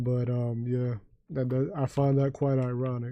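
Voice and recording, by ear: A man speaks at a medium pitch with a dark, mellow tone. His delivery is fairly slow and monotone, with flat intonation.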